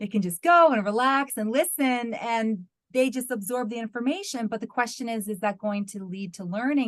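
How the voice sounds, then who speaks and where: In an American accent, a woman talks at a fairly quick pace with fairly high pitch. She has a plain, everyday voice. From US, New York. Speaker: university lecturer in English language teaching. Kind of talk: webinar Q&A answer.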